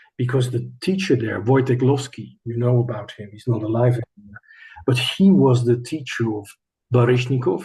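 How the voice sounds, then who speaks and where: With a Dutch accent, a man talks at medium pitch and a moderate pace in a dark, mellow, somewhat breathy tone. His intonation stays fairly even. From Netherlands. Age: 60s. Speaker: choreographer and former ballet dancer. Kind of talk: interview. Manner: hesitant, with fillers and restarts.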